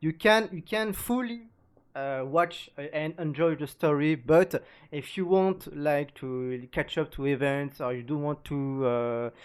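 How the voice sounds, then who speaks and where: Someone with a French accent speaks at a fairly slow pace on a very clean recording with a silent background. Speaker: gaming youtuber. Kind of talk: video reaction commentary. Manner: halting, many fillers.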